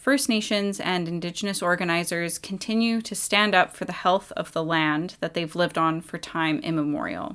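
A woman speaks at a fairly low pitch in an ordinary speaking voice. Her pace is moderate, with ordinary pitch variation and hardly any pauses. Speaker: radio host. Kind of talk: radio host patter, intros, station ID and sign-off. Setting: campus radio studio. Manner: warm, friendly, clear.

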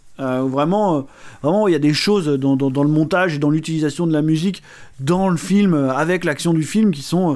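A man speaks at a fairly high pitch and a moderate pace. His pitch varies in an ordinary way, and his loudness stays very even. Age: 30s. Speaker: film podcast co-host. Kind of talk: casual chat. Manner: halting.

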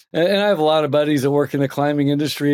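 This is a man with an unremarkable speaking voice. His pitch is fairly high and his intonation fairly even. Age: 50s. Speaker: accounting trainer and firm founder. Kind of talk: interview conversation.

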